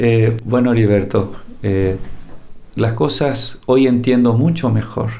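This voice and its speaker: Amid audible room echo, a man with a Paraguayan accent speaks at medium pitch and a very slow pace, with long, frequent pauses, very even loudness and ordinary pitch variation. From Paraguay, Cordillera department. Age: 60s. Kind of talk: testimony.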